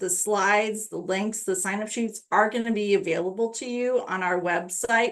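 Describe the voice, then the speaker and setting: Using a normal speaking voice, a woman talks at a fairly slow pace with ordinary pitch variation. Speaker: state education program staff presenting webinar. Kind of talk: webinar tutorial with screen-share walkthrough. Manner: casual with frequent fillers.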